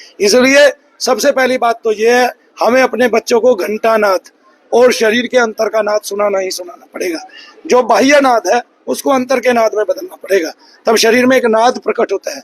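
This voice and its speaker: This man's voice sits at an extremely high pitch, moving at a fairly slow pace with ordinary pitch variation. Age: 40s. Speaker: spiritual healer. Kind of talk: interview.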